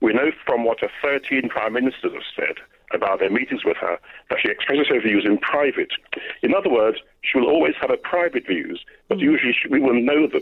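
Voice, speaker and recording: Speaking fairly quickly, a man talks with an English accent. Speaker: radio caller. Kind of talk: radio phone-in. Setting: phone call.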